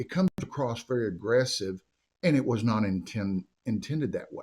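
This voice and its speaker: A man with an American accent talks at a moderate pace, his pitch swinging very widely. The recording is very clean with a silent background. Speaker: mayor. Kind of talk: interview. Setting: podcast studio. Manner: loud.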